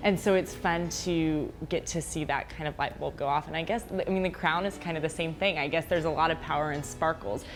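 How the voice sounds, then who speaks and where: A woman with a fairly low pitch talks at a fairly quick pace, with hardly any pauses. Music plays in the background. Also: fairly even intonation. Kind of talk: interview answer.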